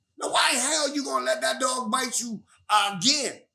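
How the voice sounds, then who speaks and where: A man talks in a raised, projected voice that is animated, bright and sharp, with lively intonation and a fairly slow pace. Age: 60s. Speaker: pioneer rapper. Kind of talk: casual interview.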